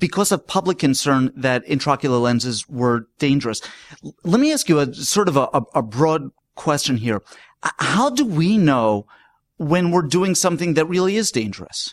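A man's unremarkable speaking voice, fairly high in pitch, with lively intonation, very even loudness and a moderate pace, in a dry, close sound with no echo on a very clean recording with a silent background. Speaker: podcast host. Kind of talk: scripted podcast intro and interview.

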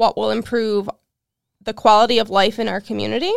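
With an American accent, a woman talks at a moderate pace in a plain, everyday voice with a fairly high pitch. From Ohio, Cleveland. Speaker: community advocate. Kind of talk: interview. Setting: studio.

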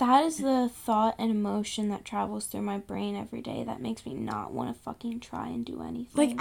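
A woman talks at a fairly quick pace, her loudness swinging widely. Noticeable background noise sits behind her. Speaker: podcast co-host. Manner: casual, profane, rambling.

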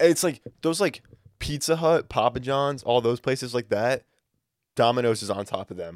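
In a dry, close sound with no echo, a man with an unremarkable speaking voice talks at medium pitch and moderate pace with lively intonation. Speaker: podcast co-host. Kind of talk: casual chat.

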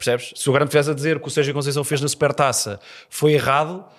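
With a European Portuguese accent, the speaker talks at a very fast pace in an animated tone with ordinary pitch variation, on a very clean recording with a silent background. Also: man, long, frequent pauses. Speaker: comedian. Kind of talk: casual chat.

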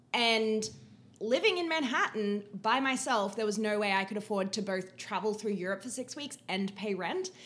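A woman with an Australian accent speaks at a moderate pace in a fairly high pitch with ordinary pitch variation. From Queensland, Australia. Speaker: podcast guest, host's friend. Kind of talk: casual chat.

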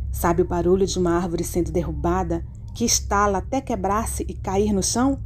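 A woman talks over noticeable background noise. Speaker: horror story narrator. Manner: suspenseful, hushed and tense, building dread.

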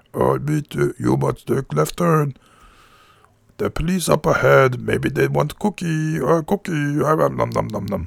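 Putting on a character voice, a man speaks at a very slow pace in a medium pitch. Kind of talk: broken grammar, childlike. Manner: silly, gruff.

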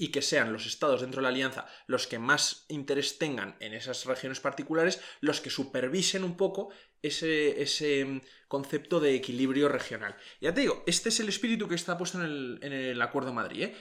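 A man speaks at a medium pitch with a fairly bright tone, moving at a fairly quick pace with few pauses. His pitch varies in an ordinary way, and the recording is very clean over a silent background.

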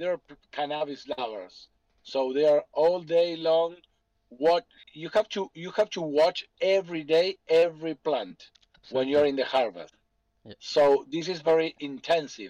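A man's dark, mellow voice, dry and close with no echo, with big swings in loudness. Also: fairly high pitch for a man, ordinary pitch variation, moderate pace. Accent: Spanish. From Argentina. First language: Spanish. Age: 40s. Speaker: businessman. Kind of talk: Q&A on a group call.

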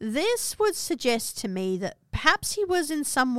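Recorded very cleanly against a silent background, a woman with an Australian accent talks at a moderate pace. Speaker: podcast host and history presenter. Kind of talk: history documentary narration, scripted storytelling. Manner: measured, dramatic, storytelling tone with dry asides.

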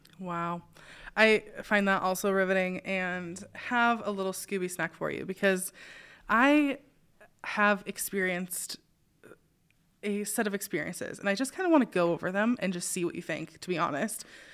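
A woman with an ordinary speaking voice talks at a medium pitch with ordinary pitch variation, on a very clean recording with a silent background. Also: moderate pace. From US Pacific Northwest, Spokane. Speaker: podcast host. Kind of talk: interview conversation.

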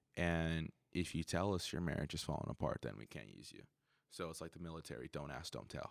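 A man's very deep, low voice, animated, with vocal fry, ordinary pitch variation, a fairly quick pace and big swings in loudness, dry and close with no echo on a very clean recording with a silent background. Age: 20s. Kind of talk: casual chat. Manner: animated, frequent laughter.

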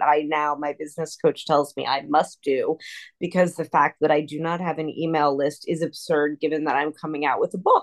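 Recorded with a dry, close sound, no echo and a quiet background, a woman speaks in a normal speaking voice at a moderate pace with fairly even intonation. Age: 50s. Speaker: lawyer and tutoring business founder. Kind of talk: interview.

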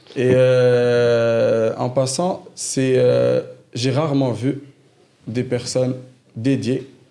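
With audible room echo, a man speaks very slowly at a medium pitch in a dark, mellow tone, using monotone, flat intonation and long, frequent pauses. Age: 20s. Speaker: engineer and former prisoner sharing his story. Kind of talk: personal testimony in casual interview.

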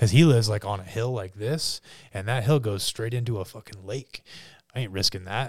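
Speaking at a fairly quick pace, a man uses a fairly low, somewhat breathy voice with ordinary pitch variation. His loudness swings widely, and the recording is very clean with a silent background. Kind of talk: casual chat. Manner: animated.

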